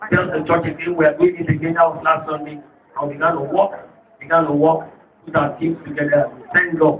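Noticeable background noise can be heard. The talking goes along fairly quickly. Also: man. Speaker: pastor. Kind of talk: sermon. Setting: church. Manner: animated. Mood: worshipful, apologetic. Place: tent. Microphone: pa.

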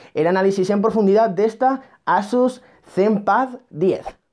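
This man has a high-pitched voice. Its pitch moves with ordinary variation. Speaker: tech YouTuber. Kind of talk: unboxing review. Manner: animated.

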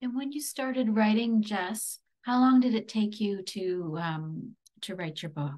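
With a fairly high, somewhat breathy voice, a woman speaks at a fairly slow pace and with lively intonation against a quiet background. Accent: Canadian. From Barrie, Ontario, Canada; Ontario. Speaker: podcast host. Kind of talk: interview. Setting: virtual event. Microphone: webcam.

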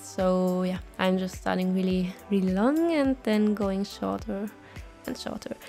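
A woman with a non-native accent at a fairly slow pace, music in the background. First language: non-native English speaker. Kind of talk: casual vlog voiceover. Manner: casual, hesitant.

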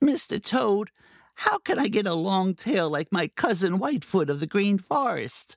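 A squeaky put-on character voice at a middle pitch and a moderate pace. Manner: sulky then cheeky.

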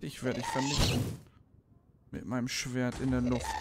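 Background noise is noticeable. A man does the talking. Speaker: streamer. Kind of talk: casual gaming commentary. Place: home room. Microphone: studio mic.

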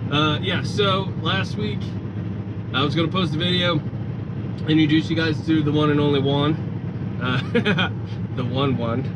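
A man at a moderate pace with ordinary pitch variation, long, frequent pauses and loud background noise. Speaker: truck driver trainer vlogger. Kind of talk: casual vlog chat. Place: car. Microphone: camera far.

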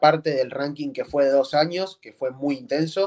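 A man's fairly high-pitched voice over a quiet background. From Bahía Blanca, Buenos Aires province, Argentina; Buenos Aires province, Argentina. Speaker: freestyle rapper; interviewee. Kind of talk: interview. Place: home room. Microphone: video call.

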